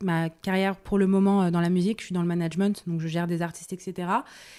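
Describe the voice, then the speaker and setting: A woman with a medium-pitched voice is heard on a very clean recording with a silent background. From France, Paris. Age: 20s. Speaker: Instagram body-positive creator, music manager. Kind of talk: podcast interview. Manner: hesitant, many fillers.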